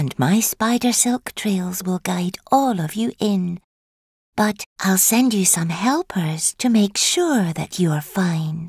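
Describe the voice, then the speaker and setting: A woman uses a put-on character voice. Her pitch is medium and her pace is fairly slow. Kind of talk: dark children's story acting. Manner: falsely sweet, scheming, coaxing.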